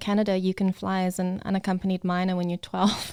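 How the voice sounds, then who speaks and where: The speaker has a South African accent and a monotone, flat intonation. The recording is very clean with a silent background and a dry, close sound with no echo. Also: woman. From South Africa, Cape Town. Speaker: model, photographer and actress. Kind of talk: casual interview chat.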